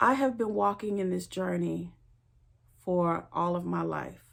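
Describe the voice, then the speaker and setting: A woman speaks at a very slow pace with a Louisiana accent. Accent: Louisiana Southern US. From Louisiana, US South. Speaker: spiritual teacher, tarot reader. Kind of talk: personal introduction monologue.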